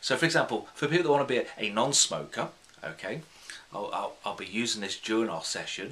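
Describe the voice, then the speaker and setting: A man with a British accent, at a very fast pace. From UK. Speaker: hypnotherapist; hypnotherapist trainer. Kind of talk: tutorial. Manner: unscripted, conversational. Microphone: phone near.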